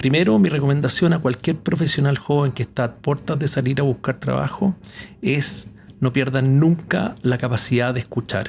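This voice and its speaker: In a fairly high pitch, a man speaks at a moderate pace with a somewhat breathy voice and ordinary pitch variation. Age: 60s. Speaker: retired company executive. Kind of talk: podcast interview.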